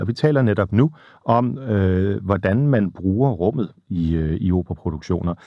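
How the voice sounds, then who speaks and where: With a Danish accent, a man speaks at a fairly quick pace in a fairly low pitch, his intonation lively. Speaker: radio interviewer. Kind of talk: interview, partly in a second language. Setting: small studio. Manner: halting, searching for words.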